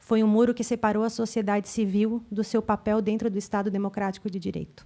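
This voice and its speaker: Her voice fairly high and her tone dark and mellow, a woman speaks at a fairly quick pace with monotone, flat intonation. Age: 30s. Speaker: council representative. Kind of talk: public hearing speech, partly read aloud. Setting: legislative assembly public hearing.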